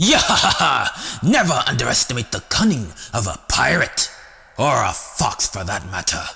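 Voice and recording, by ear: A man performs a put-on character voice pitched at a medium level. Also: moderate pace.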